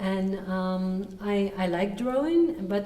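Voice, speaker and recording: Against noticeable background noise and audible room echo, a woman speaks with ordinary pitch variation. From Russia (Yekaterinburg, Urals). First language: Russian. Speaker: singer-songwriter. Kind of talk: interview. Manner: hesitant with fillers.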